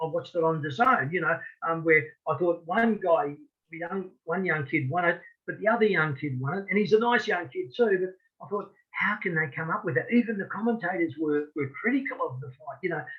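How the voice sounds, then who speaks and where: Lively intonation marks this man's high-pitched voice as he speaks at a fairly quick pace. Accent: Australian. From Australia, rural Victoria. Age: 60s. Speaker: boxing referee. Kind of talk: interview. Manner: halting, frequent repetitions.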